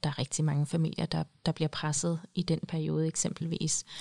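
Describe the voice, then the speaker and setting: Dry and close with no echo, a woman's voice has a very deep, low pitch for a woman, a dark, mellow tone, fairly even intonation, and a moderate pace. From Denmark. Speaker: psychologist. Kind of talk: casual chat.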